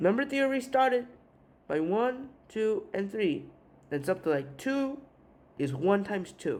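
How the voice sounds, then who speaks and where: The speaker talks in a Korean accent at a fairly slow pace. Long, frequent pauses break up the speech. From South Korea. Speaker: math teacher. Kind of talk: tutorial. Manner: halting, with filler uhs.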